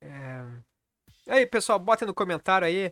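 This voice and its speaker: A man talks with lively intonation. The sound is dry and close with no echo, on a very clean recording with a silent background. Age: 40s. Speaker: karate channel host. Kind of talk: casual vlog monologue.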